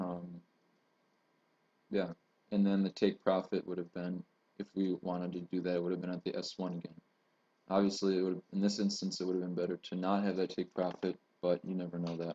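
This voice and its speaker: With a very deep, low pitch and a dark, mellow tone, a man speaks at a fairly quick pace in a monotone, flat intonation, leaving long, frequent pauses. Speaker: trader. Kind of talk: tutorial. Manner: fast.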